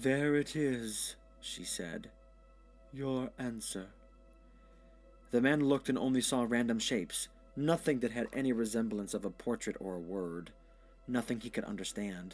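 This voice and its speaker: With music in the background, a man speaks at a medium pitch and a moderate pace. He uses ordinary pitch variation and long, frequent pauses. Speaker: storyteller. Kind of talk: audio short story narration.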